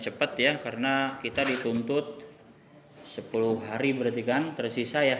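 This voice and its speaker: Noticeable background noise and audible room echo surround a man speaking with fairly even intonation. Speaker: religious teacher. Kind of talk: kitab study reading with translation.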